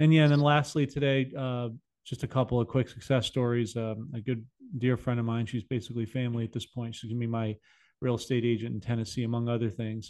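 Very fast delivery with fairly even intonation over a quiet background. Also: man. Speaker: podcast host. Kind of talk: casual interview. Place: studio. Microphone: studio mic.

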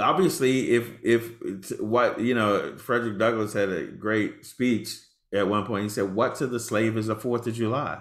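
With hardly any pauses, a man talks at a moderate pace in a fairly even intonation, audible room echo around him and a quiet background. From Texas. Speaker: AI ethics officer; panelist. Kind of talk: panel discussion. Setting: video call. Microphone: webcam.

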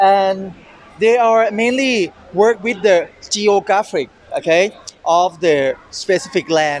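Over light background noise, a man speaks at a very slow pace with ordinary pitch variation, the sound dry with no echo. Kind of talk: casual show-floor presentation. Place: hall.

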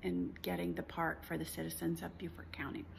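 Light background noise sits under the recording. The female speaker keeps a moderate pace. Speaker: travel vlogger. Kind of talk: casual vlog chat. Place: home room. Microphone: phone near.

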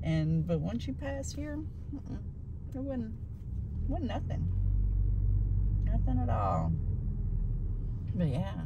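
A woman talks at a slow pace and a medium pitch, with very wide pitch swings and long, frequent pauses. Clear background noise and audible room echo surround her.

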